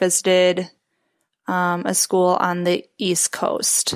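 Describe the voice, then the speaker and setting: A woman speaks at medium pitch in an American accent. The recording is very clean, with a silent background. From US Midwest, Chicago area. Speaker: chiropractic student intern. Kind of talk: interview.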